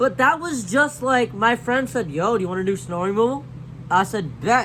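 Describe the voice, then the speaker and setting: His voice is raised and projected, sitting at an extremely high pitch with very wide pitch swings. The man sounds animated and keeps a moderate pace. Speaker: YouTuber. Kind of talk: casual storytime monologue.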